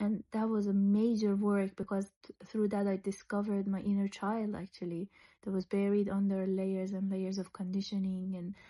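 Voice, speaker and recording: A woman's somewhat breathy voice, dark and mellow in tone, medium in pitch, with monotone, flat intonation, at a moderate pace against a quiet background. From Iran. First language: Persian. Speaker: psychologist and creative wellbeing facilitator. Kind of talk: personal testimony. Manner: reflective, with hesitations and restarts.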